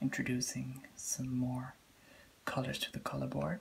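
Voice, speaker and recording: The voice is soft-spoken with a calm tone. Light background noise can be heard. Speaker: color test host. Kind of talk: ASMR role-play color test. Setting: lo-fi, low-quality recording. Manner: soft-spoken, calm. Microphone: phone near.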